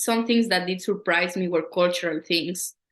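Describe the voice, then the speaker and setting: A woman with a Latin American accent, a bright, sharp tone and fairly even intonation. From Ecuador. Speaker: poet and educator. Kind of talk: interview.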